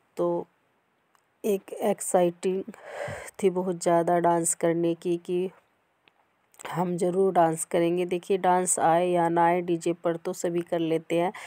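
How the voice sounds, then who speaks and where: A woman speaks at a very slow pace in a fairly low, dark, mellow voice, with monotone, flat intonation and long, frequent pauses. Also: dry, close sound with no echo. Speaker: vlogger. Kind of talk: casual vlog talk.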